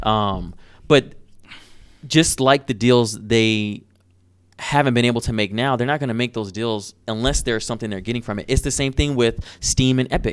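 Speaking at medium pitch and a moderate pace, a man has a normal speaking voice with fairly even intonation. The recording is very clean, with a silent background. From Detroit, US. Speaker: channel host, animator. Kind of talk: casual interview.

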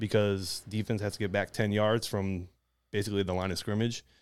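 A man's fairly low voice with an American accent at a moderate pace, in a very clean recording with a silent background. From Detroit, Michigan. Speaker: Marine Corps veteran. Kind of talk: casual chat.

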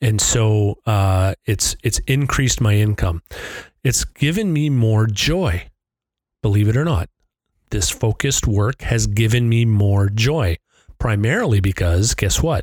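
A man talks fairly slowly at a fairly low pitch, somewhat breathy, with ordinary pitch variation, very even loudness and a dry, close sound with no echo. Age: 50s. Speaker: podcast host. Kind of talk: solo monologue. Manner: casual, with filler words.

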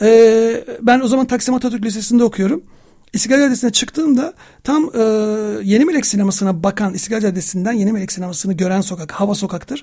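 A man speaks very fast with a high pitch for a man. His tone is dark and mellow, with ordinary pitch variation. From Istanbul, Turkey. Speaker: film writer and researcher. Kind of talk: radio interview. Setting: radio studio.

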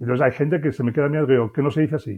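A man speaks very fast at medium pitch, varying it in an ordinary way. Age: 60s. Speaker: business consultant. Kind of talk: interview.

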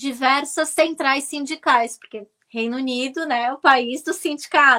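A woman talks at a fairly slow pace in a raised, projected voice with a bright, sharp tone, high in pitch with ordinary pitch variation. The recording is very clean, with a silent background. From Brazil, Santos (São Paulo state). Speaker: journalist and political commentator. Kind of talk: interview. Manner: halting with fillers.

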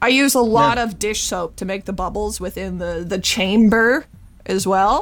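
With ordinary pitch variation, a woman speaks in a plain, everyday voice. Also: medium pitch for a woman, moderate pace. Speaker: comedian. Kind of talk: casual comedic chat.

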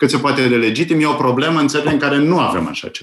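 At a fairly quick pace, a man speaks in a normal speaking voice, fairly high-pitched with ordinary pitch variation, on a very clean recording with a silent background.

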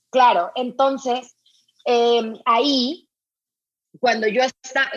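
A woman talks with a fairly high pitch. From northern Mexico, Sinaloa. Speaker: beauty magazine founder and editor. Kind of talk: interview. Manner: animated.

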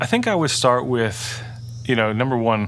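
A man talks at a moderate speed while noticeable background noise carries on. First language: Dutch. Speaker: churchgoer sharing faith testimony. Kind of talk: testimony. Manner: halting, many fillers and restarts.

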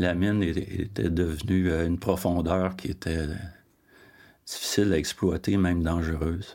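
In a Quebec accent, a man with a very deep, low pitch and a dark, mellow tone speaks fairly slowly with fairly even intonation and long, frequent pauses. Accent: Québécois French. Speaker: family member interviewee. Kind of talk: casual chat.

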